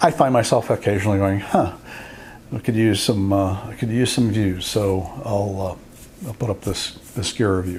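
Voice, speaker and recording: Ordinary pitch variation and a moderate pace from a man with a fairly low voice, with noticeable background noise. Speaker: photographer and YouTuber. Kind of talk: casual talk to camera. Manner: hesitant, rambling.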